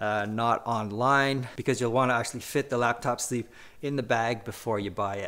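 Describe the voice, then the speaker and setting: Speaking in a bright, sharp tone, a man keeps a moderate pace and fairly even intonation. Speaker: gear reviewer. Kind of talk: product demonstration. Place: home room.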